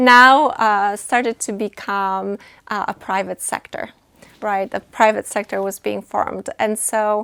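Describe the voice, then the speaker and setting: With a Polish accent, a woman of medium pitch speaks at a fairly slow pace and fairly even intonation, her sound dry and close with no echo on a very clean recording with a silent background. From Poland. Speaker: nonprofit executive director. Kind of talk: interview. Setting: studio. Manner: hesitant, many fillers.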